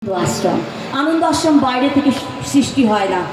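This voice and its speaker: A woman with a high pitch is heard against noticeable background noise. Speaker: stage anchor and emcee. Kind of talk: live event emceeing speech.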